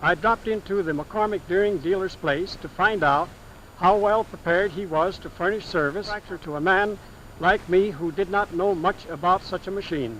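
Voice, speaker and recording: Heard over noticeable background noise, the speaker talks at a moderate pace with an American accent and ordinary pitch variation. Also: man, high pitch for a man. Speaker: farmer giving a testimonial. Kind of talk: testimonial speech about farm machinery.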